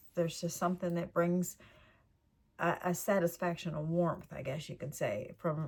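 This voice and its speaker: A woman's somewhat breathy, fairly low voice at a moderate pace, flat and monotone in intonation. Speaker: channel host, lifestyle vlogger. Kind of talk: casual monologue to viewers.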